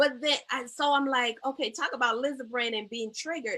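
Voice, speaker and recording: With an American accent, a woman uses a raised, projected voice at a high pitch with a bright, sharp tone. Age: 50s. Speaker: therapist and talk show host. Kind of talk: live talk show interview. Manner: animated storytelling.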